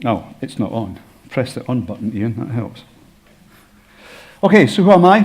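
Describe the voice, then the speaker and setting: The speaker has a Scottish accent and lively intonation. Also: man. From Scotland. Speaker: health informatician and former doctor. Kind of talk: conference presentation.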